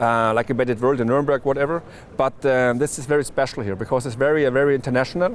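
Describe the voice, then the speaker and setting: A man speaks at a very fast pace. His voice is medium-pitched with fairly even intonation. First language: German. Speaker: trade media manager. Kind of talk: interview. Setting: trade fair floor. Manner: halting, many restarts.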